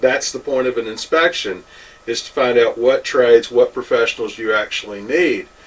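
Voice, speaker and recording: A man's voice comes through noticeable background noise at a moderate pace. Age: 60s. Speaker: home inspector. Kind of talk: opinion monologue. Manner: animated.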